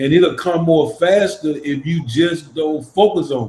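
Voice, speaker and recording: A fairly slow, somewhat breathy voice with a dark, mellow tone, ordinary pitch variation, and an American accent. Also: man. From US South, Memphis, Tennessee. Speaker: church podcast co-host. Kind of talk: casual chat.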